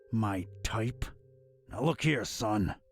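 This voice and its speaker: A man puts on a raspy character voice at a medium pitch. Music plays in the background. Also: ordinary pitch variation. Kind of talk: hard-boiled noir detective. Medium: video game. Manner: gruff, laconic.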